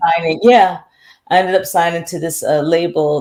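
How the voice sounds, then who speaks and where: A woman with an American accent and fairly even intonation. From France, Paris. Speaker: singer and radio host. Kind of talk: interview. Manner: hesitant with fillers and restarts.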